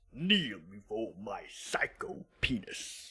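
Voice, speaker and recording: Someone speaks very slowly in a put-on character voice at a low-to-middle pitch. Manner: menacing, imperious.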